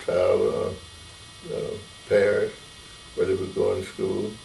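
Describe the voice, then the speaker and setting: At a fairly slow pace, a man talks while noticeable background noise is present. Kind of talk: oral history interview answer. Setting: interview.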